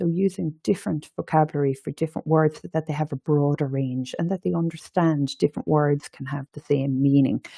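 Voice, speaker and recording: This woman speaks in an Irish accent. Her pitch is very deep and low, and her tone is dark and mellow. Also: dry, close sound with no echo. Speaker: education and training manager. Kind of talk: webinar presentation.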